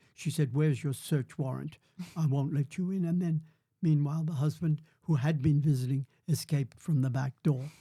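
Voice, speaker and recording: On a very clean recording with a silent background, a man speaks at a moderate pace in fairly even intonation. His fairly high, dark, mellow voice is somewhat breathy. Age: 80s+. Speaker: grandfather, former prisoner of war. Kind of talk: podcast interview answer.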